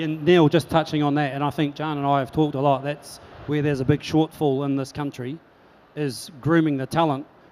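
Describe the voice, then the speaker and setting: Speaking fairly quickly in a New Zealand accent, a man holds a fairly high pitch with monotone, flat intonation. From New Zealand, Christchurch. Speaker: chef, hospitality executive. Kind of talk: panel discussion.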